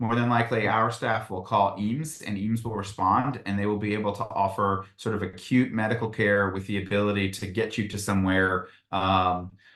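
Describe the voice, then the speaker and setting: A man with a fairly low pitch and fairly even intonation, hardly any pauses, quiet background. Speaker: university housing staff presenter. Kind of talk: informational presentation. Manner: fast.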